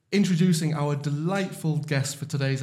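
A somewhat breathy man's voice, fairly high in pitch, at a fairly quick pace with fairly even intonation. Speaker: podcast host. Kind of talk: casual podcast chat.

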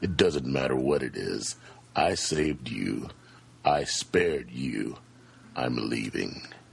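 Putting on a character voice, a man growls at a very deep, low pitch, moving at a fairly slow pace with long, frequent pauses.

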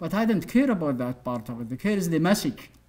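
A man with an Arabic accent speaks at a fairly quick pace in a fairly high pitch. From Saudi Arabia. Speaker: human rights activist. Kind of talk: lecture. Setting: stage with audience. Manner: animated.

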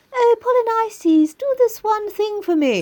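A put-on, squeaky character voice, female-sounding, extremely high-pitched, at a moderate pace. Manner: pleading.

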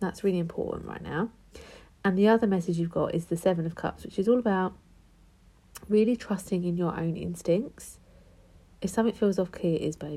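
A somewhat breathy woman with a British accent and a dark, mellow tone, at a fairly quick pace broken by long, frequent pauses. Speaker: tarot card reader. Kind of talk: tarot reading. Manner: casual, chatty.

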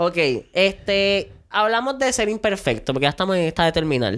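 A woman speaks in an ordinary speaking voice at a moderate pace with lively intonation. The recording is very clean and the background silent. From Puerto Rico. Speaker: podcast host. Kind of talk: casual chat.

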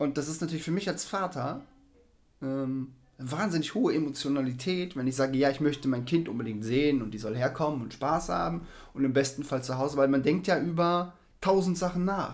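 A man with a plain, everyday voice speaks fairly quickly at a fairly high pitch, with ordinary variation in his intonation. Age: 40s. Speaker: podcast co-host, stepfather in sales. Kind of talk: casual chat.

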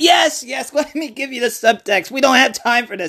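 The speaker uses a put-on character voice. It sits at a fairly high pitch. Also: moderate pace. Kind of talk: comic parody trailer acting. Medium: solo performance. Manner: wheedling, impatient, gloating.

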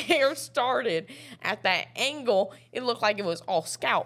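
A woman's fairly bright tone, with ordinary pitch variation and a moderate pace

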